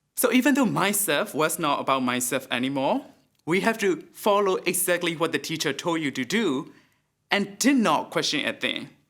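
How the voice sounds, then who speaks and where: In a very clean recording with a silent background, a man speaks at a high pitch. His pitch swings very widely at a moderate pace. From Myanmar. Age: 20s. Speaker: TEDx speaker. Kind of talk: public talk.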